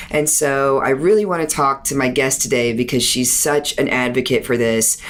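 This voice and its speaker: Amid noticeable background noise, a woman with a very deep, low pitch speaks at a moderate pace with ordinary pitch variation. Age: 40s. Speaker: physician and medical spa owner. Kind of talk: casual interview chat.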